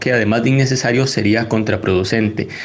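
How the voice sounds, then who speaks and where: A man talks at a fairly quick pace. Audible room echo and noticeable background noise fill the recording. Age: young. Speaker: economist and parliamentary adviser. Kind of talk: panel debate.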